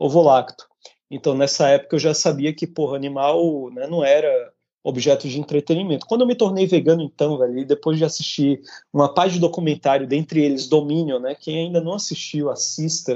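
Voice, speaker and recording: Fairly high for a man, this voice moves at a fairly quick pace with ordinary pitch variation. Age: 30s. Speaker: podcast co-host, vegan activist. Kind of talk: casual chat. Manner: animated.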